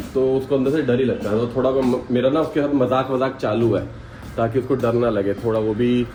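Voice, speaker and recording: Over noticeable background noise, a man with a medium pitch speaks at a moderate pace. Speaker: vlogger. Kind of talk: casual vlog chat. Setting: in a car. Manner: loud; playful, joking.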